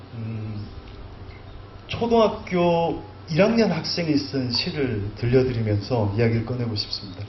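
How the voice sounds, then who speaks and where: A man talks at medium pitch with lively intonation and a shaky voice. His pace is fairly slow with long, frequent pauses, and there is audible room echo. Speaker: poet. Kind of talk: literary talk. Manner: trembling voice.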